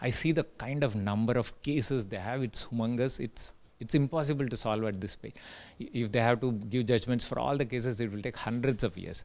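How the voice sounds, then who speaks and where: Speaking fairly quickly with an Indian accent, the voice shows ordinary pitch variation. The recording is very clean, and the background is silent. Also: man, medium pitch for a man. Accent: Indian English, Telugu. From India, Telugu-speaking. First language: Telugu. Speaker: tech entrepreneur, invited speaker. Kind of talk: invited talk. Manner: hesitant, many fillers.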